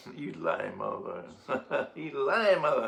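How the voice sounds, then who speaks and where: A man talks at a fairly slow pace with an American accent. Audible room echo and noticeable background noise fill the recording. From Boston, Massachusetts. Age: 60s. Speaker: activist and veteran. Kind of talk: casual monologue.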